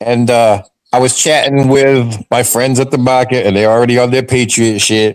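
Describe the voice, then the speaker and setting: A man talks in an ordinary speaking voice at a medium pitch. His pace is moderate. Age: 60s. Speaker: sports fan show panelist. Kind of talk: casual chat.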